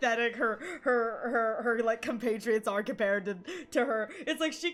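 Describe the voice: What you hear is plain reading aloud.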